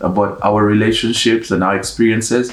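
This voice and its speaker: Noticeable background noise behind a moderate pace and monotone, flat intonation. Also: man. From Uganda. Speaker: YouTuber, one half of couple. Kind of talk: casual Q&A chat.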